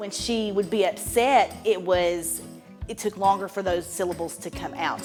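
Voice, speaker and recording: Music plays in the background as a woman speaks at a moderate pace. Her medium-pitched voice has fairly even intonation. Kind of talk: interview answer.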